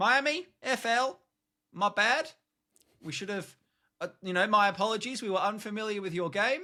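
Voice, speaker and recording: A man's raised, projected voice with an Australian accent, high pitch, bright, sharp tone and lively intonation, at a moderate pace on a very clean recording with a silent background. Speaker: podcast co-host. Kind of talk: casual chat.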